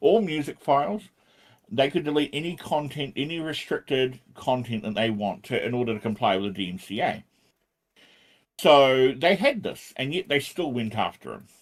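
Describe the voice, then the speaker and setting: A man's medium-pitched voice with a New Zealand accent, lively intonation and a moderate pace, on a very clean recording with a silent background. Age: 40s. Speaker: programming livestreamer. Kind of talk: casual livestream chat. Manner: animated.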